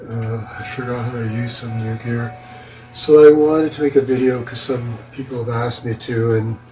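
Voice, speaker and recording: Moderately paced male speech over background music. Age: 80s+. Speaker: retired photographer and vlogger. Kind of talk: casual monologue. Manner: halting.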